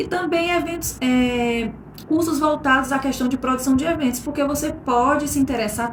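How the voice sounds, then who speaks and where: Amid audible room echo and noticeable background noise, a woman speaks at a high pitch and a moderate pace. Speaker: master of ceremonies. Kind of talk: recorded talk to a class.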